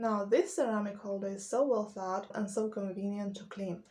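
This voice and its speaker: Somewhat breathy, this woman's voice has a dark, mellow tone, a medium pitch and fairly even intonation. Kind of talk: casual talk to camera.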